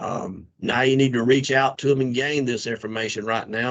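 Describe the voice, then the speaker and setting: A medium-pitched man with a Southern US accent and fairly even intonation, against a quiet background. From South Carolina. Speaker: association membership co-chair. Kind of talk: conference call announcement.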